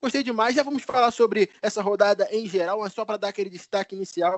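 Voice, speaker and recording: Speaking with a Rio de Janeiro accent, a man uses a high pitch and ordinary pitch variation. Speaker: sports podcast host. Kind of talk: casual podcast chat.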